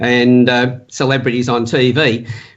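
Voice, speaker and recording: Medium-pitched male speech in an Australian accent. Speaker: profiling and communication specialist. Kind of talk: interview. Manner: fast.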